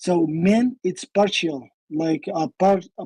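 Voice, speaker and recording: In an Arabic accent, a woman speaks with a dark, mellow tone, recorded with a dry, close sound with no echo. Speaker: caller. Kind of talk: heated debate. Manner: halting.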